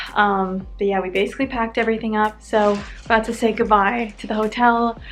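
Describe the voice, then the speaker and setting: Speaking very fast, a woman with an American accent uses a fairly high pitch. Noticeable background noise can be heard. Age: 20s. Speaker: lifestyle vlogger. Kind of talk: casual vlog narration. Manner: animated.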